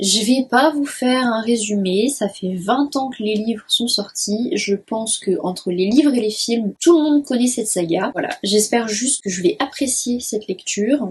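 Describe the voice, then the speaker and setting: A woman with a fairly high pitch speaks fairly slowly, with lively intonation and hardly any pauses. Background noise is noticeable. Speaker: book YouTuber. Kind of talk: casual talk to camera.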